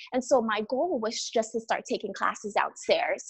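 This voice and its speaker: A woman with a fairly high pitch talks at a moderate speed, her pitch varying in an ordinary way. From Cape Verde, raised in Massachusetts from age seven. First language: Cape Verdean Creole. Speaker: beauty pageant winner. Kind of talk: interview.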